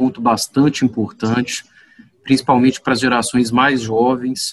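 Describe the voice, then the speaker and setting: At a fairly slow pace, a man talks in an unremarkable speaking voice with medium pitch and fairly even intonation. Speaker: podcast host. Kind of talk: interview. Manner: formal.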